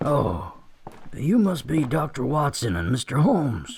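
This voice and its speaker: A man's raspy, put-on character voice at a fairly high pitch, with very wide pitch swings and a moderate pace. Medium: audio drama. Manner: brisk, businesslike.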